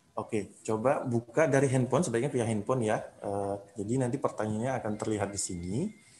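Somewhat breathy, a man speaks at a fairly quick pace with ordinary pitch variation over light background noise. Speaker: event emcee. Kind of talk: event hosting. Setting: video call. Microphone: webcam.

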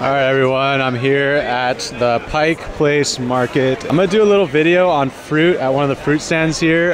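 Noticeable background noise sits behind a man talking at a moderate pace with ordinary pitch variation. The sound is dry, with no echo. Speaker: cooking vlogger. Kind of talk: casual vlog chat. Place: market. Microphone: phone near.

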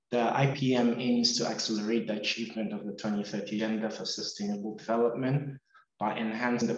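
Audible room echo surrounds a man speaking at a fairly quick pace with fairly even intonation. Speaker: webinar host. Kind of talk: formal webinar introduction. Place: office. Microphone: video call.

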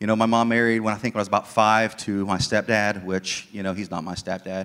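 The man talks with monotone, flat intonation. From southern Ohio, US. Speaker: ministry leader; guest. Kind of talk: testimony. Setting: church. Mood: earnest, reflective. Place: church. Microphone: handheld.

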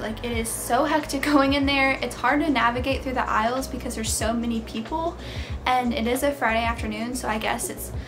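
With clear music in the background, a woman speaks very fast. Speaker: lifestyle vlogger. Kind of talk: casual vlog chat. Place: home room.

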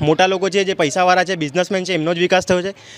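A man's high voice with fairly even intonation, in a dry sound with no echo. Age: young. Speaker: first-time voter, recent school graduate. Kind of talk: vox pop interview; interview answer. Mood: critical, earnest political opinion. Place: street. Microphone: handheld.

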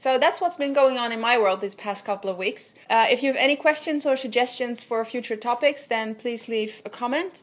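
A high-pitched female voice with a Dutch accent. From Netherlands. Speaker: visual artist. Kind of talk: video blog. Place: home room.

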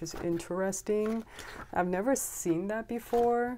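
Dark, mellow tone at a fairly slow pace over light background noise. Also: woman. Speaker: stationery vlogger. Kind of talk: casual show-and-tell vlog. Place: home room. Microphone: phone near.

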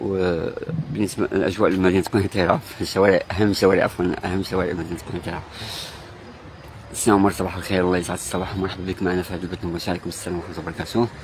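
A man with a very deep, low pitch speaks at a very fast pace with fairly even intonation. There is noticeable background noise, and the sound is dry with no echo. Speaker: live stream reporter. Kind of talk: live stream commentary greeting viewers. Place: street. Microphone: phone near.

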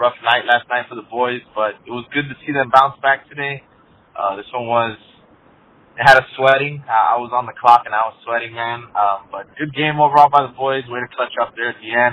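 At a fairly quick pace, a man with a medium pitch and fairly even intonation speaks with long, frequent pauses.

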